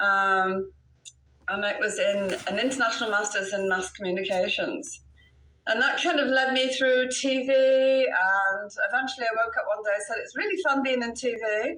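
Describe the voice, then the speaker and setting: With an English accent, a woman speaks in a bright, sharp tone at a fairly high pitch, her intonation lively. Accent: British, more English than Welsh. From Wales. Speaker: real estate broker. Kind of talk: interview.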